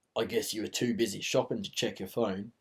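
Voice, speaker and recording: Playing a put-on character voice, a raspy man talks at a fairly quick pace and medium pitch with lively intonation. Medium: read story.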